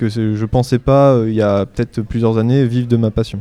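A man's medium-pitched, flat, monotone voice, dry and close with no echo. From France, Normandy (Orne). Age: 20s. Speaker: illustrator. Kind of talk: live radio interview before audience. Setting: stage with audience. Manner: halting.

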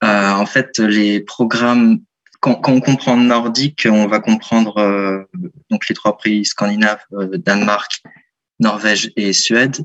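The voice belongs to a man and sits fairly low in pitch. Its intonation remains fairly even. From France, Lyon. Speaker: university student. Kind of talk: radio interview. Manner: hesitant, many fillers.

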